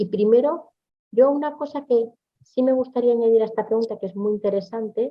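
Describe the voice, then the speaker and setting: Speaking at a fairly quick pace, a woman talks with a Spanish accent. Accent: Spanish (Spain). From Spain. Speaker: business consultant. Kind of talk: webinar presentation with Q&A.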